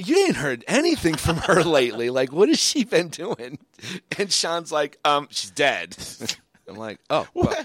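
A man with an American accent talks at a fairly slow pace. His loudness swings widely. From Michigan and Cape Cod, US. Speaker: podcast co-host. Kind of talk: casual chat.

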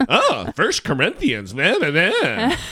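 A put-on character voice. It moves at a fairly slow pace. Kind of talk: preaching. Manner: mocking.

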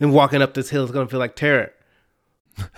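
An animated man speaks at a fairly high pitch with an American accent. His tone is bright and sharp. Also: very clean recording, silent background. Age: 30s. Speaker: podcast co-host. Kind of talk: casual chat.

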